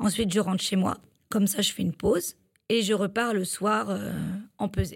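With vocal fry and long, frequent pauses, a woman speaks at medium pitch with fairly even intonation. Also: moderate pace. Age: 30s. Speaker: livestock milk-weighing technician. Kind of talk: interview. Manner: hesitant, with fillers.

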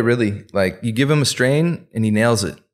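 A man with an American accent speaks at a moderate pace with ordinary pitch variation, in an ordinary speaking voice. The recording is very clean, with a silent background. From US East Coast, Persian heritage. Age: 30s. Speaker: cannabis breeder. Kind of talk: casual chat. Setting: studio.

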